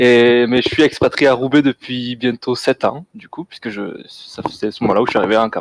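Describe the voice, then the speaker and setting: The delivery has fairly even intonation and a moderate pace, with a dry, close sound with no echo. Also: man. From southern France, Toulouse. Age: 20s. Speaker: game designer. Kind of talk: interview.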